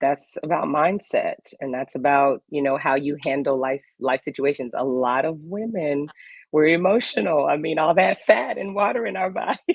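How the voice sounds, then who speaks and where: A woman speaks with a Louisiana accent at a fairly quick pace. Her pitch is very deep and low, with ordinary pitch variation. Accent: Louisiana Southern US. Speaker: health and wellness guest. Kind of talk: casual chat.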